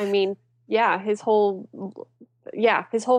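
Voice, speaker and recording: A woman speaks with an American accent at a medium pitch, in a flat monotone. The sound is dry and close, with no echo. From western Pennsylvania, near Pittsburgh. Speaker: author. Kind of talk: casual interview chat.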